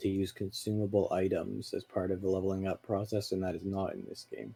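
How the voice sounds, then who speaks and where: Fairly low in pitch, a man talks very fast in a dark, mellow tone. His intonation is monotone and flat. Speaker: gaming podcast co-host. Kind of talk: casual chat while streaming gameplay. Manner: loud.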